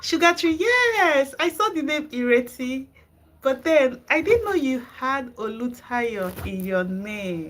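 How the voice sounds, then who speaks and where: Speaking in a Nigerian accent, a woman takes a very slow pace. Her high voice moves in very wide pitch swings. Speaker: gardening channel host. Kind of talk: live stream chat with viewers. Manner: animated.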